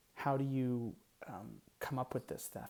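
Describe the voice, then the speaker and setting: His tone dark and mellow, a man speaks at a medium pitch and a moderate pace in a monotone, flat delivery. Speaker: vlogger. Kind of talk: personal vlog monologue. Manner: casual, hesitant with fillers.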